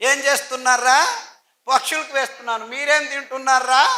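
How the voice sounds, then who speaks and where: A bright, sharp tone comes through. The speaker is projecting with a raised voice. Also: man. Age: 60s. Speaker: health speaker. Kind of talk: public speech. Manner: emphatic.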